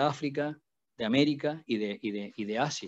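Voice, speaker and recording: A man with a medium pitch speaks at a moderate pace. The background is quiet. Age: 60s. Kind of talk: panel talk. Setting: video call. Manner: halting, many repetitions.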